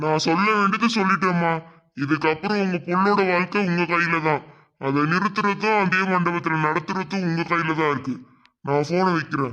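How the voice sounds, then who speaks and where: In a cartoonish character voice, a man talks high for a man at a moderate pace, with very even loudness and fairly even intonation over a quiet background. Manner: ominous, insinuating.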